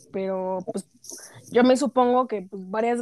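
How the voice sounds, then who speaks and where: A woman speaks at a fairly slow pace with a fairly high pitch and ordinary pitch variation on a very clean recording with a silent background. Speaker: podcast panelist. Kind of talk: casual chat.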